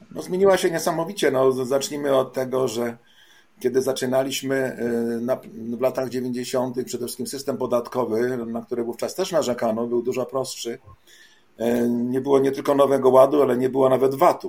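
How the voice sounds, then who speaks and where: His medium-pitched voice varies in an ordinary way. The man keeps a fairly quick tempo. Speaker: travel agency owner. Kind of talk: interview. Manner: halting.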